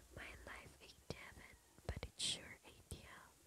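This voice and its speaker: A woman is whispering. Her words come out as a whisper. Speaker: ASMR creator. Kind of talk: ASMR poetry reading. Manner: whispered. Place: home room. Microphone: studio mic.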